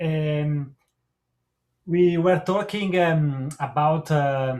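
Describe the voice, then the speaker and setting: Very slowly, a man with an Italian accent speaks in a fairly high pitch with ordinary pitch variation. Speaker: guitarist and guitar teacher. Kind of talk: casual chat. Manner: halting.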